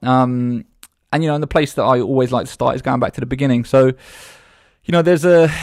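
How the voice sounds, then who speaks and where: Talking very fast with a British accent, a man with a fairly high pitch keeps a fairly even intonation, the sound dry and close with no echo. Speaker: podcast host. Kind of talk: casual interview. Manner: informal, chatty.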